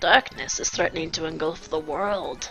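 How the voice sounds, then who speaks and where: Clear music plays behind a woman doing a put-on character voice. Her pitch is fairly low and her pace moderate. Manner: funny.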